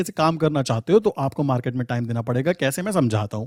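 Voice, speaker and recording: A man's voice comes through dry and close, with no echo, on a very clean recording with a silent background. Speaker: trading educator. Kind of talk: tutorial. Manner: casual, conversational.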